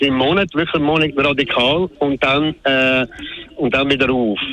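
With a Swiss accent, a man speaks at a moderate pace in a fairly high pitch over noticeable background noise. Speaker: radio caller. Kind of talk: call-in talk radio. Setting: phone call. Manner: halting, many fillers.

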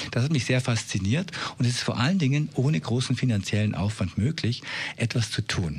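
The man's voice is somewhat breathy. His intonation is lively. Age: 50s. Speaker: expert on aging. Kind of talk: radio interview.

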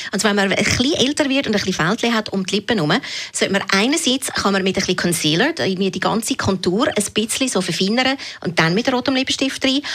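A woman speaks very fast at a fairly high pitch, her intonation lively and her loudness very even, with noticeable background noise. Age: 40s. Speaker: beauty blogger. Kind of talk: radio interview.

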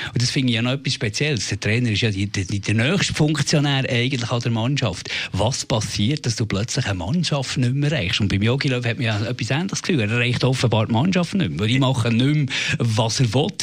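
A man speaks at a medium pitch and fairly quick pace, with hardly any pauses, ordinary pitch variation and very even loudness. Noticeable noise sits in the background. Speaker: radio host. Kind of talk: casual chat.

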